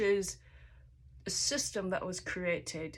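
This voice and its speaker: A woman with a Chinese accent, at a very slow pace, with ordinary pitch variation. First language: Mandarin Chinese. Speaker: language teacher. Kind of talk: tutorial. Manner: frequent 'okay' fillers.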